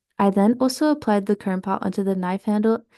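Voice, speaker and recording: Her voice has a dark, mellow tone, and the woman's sound is dry and close with no echo. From Russian background. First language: Russian. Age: 20s. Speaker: student. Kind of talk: presentation. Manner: formal.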